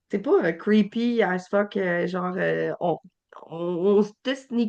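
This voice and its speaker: A woman's medium-pitched voice in a Quebec accent, with ordinary pitch variation. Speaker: podcast host. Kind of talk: podcast interview. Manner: halting.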